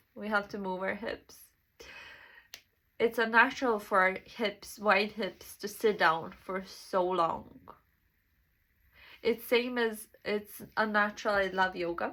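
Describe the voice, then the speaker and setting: Very slow speech with long, frequent pauses, a bright, sharp tone and fairly even intonation, in a very clean recording with a silent background. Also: woman, medium pitch for a woman. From Serbia. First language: Serbian. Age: 20s. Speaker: self-development vlogger. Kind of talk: casual monologue. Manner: halting.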